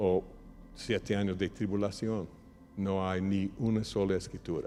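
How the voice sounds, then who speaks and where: In a dark, mellow tone, a man speaks fairly slowly at a fairly low pitch, with monotone, flat intonation. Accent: non-native. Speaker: pastor. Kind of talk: sermon. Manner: halting at times.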